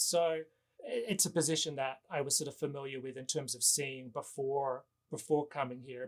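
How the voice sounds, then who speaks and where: At a moderate pace, a man with an Australian accent talks at a fairly high pitch with ordinary pitch variation. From Western Australia. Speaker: novelist and professor. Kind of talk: interview.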